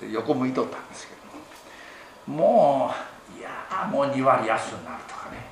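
A man's medium-pitched voice with very wide pitch swings and big swings in loudness, a moderate pace broken by long, frequent pauses, plus audible room echo and noticeable background noise. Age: old. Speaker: Buddhist temple head priest. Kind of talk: sermon. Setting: temple hall with congregation.

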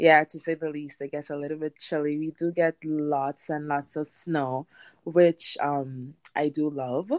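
A woman with a Trinidadian accent speaks at a fairly slow pace in a very deep, low voice, her intonation monotone and flat. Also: dry, close sound with no echo. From Trinidad and Tobago. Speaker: home gardener. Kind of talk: interview.

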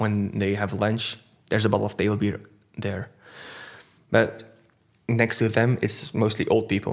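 Speaking fairly slowly in a Dutch accent, a man keeps his medium pitch in a monotone, flat intonation. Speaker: brewer. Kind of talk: casual interview.

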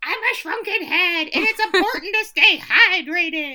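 In a put-on character voice, the speaker uses an extremely high pitch at a moderate pace. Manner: creepy.

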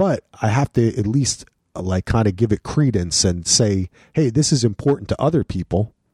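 A man talks at medium pitch and a moderate pace, his dark, mellow tone somewhat breathy. His intonation is lively, his loudness very even, and the sound is dry and close with no echo. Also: very clean recording, silent background. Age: 40s. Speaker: podcast co-host and dad. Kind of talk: casual chat. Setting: garage.

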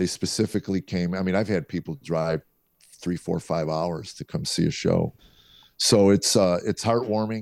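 A man with a very deep, low voice speaks in an American accent. He keeps a moderate pace, and the sound is dry and close with no echo. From US Midwest. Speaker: comedian. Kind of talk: interview with storytelling. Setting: video call. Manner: animated, humorous.

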